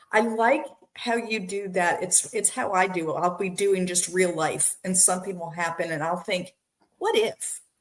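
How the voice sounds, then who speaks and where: At a moderate pace and medium pitch, a woman speaks in an ordinary speaking voice. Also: ordinary pitch variation. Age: 60s. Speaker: podcast host. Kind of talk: interview. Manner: casual, conversational.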